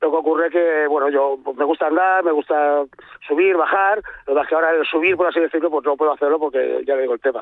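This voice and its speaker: Very fast and very even in loudness, a man speaks in a fairly high pitch with fairly even intonation. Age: 60s. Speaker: caller. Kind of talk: call-in consultation. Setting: phone call.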